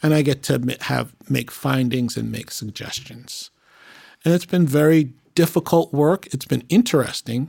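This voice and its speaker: In a plain, everyday voice with an American accent, the speaker talks at a moderate pace with ordinary pitch variation on a very clean recording with a silent background. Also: man, fairly high pitch for a man. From Boston, Massachusetts. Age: 50s. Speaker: police officer and church elder. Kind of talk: casual chat.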